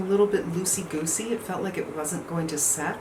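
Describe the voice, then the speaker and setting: Ordinary pitch variation marks speech delivered at a fairly quick pace. The recording has audible room echo and noticeable background noise. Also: woman. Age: 60s. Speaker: beauty vlogger. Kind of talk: product review. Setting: home, no air conditioning. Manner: casual, conversational.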